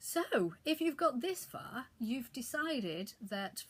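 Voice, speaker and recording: A woman speaks with a somewhat breathy voice. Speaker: author and video blogger. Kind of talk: casual tutorial vlog.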